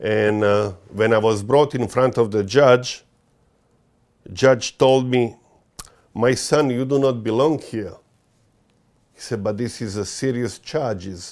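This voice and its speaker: Speaking at a very slow pace with long, frequent pauses, a man with a strong Croatian accent uses a medium pitch and ordinary pitch variation. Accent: thick Croatian. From Croatia, Dalmatian coast. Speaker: interviewee describing legal dispute. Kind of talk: interview testimony. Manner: halting, many fillers.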